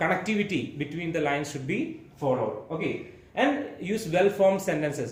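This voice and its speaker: Audible room echo and noticeable background noise both come through in this clip. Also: man. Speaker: school teacher. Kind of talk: exam-prep tutorial lecture. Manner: fast.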